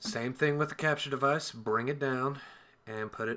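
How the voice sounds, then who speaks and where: The recording is very clean, with a silent background. A man speaks in a bright, sharp tone. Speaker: gaming streamer. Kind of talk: tutorial. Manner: halting, with many fillers; casual.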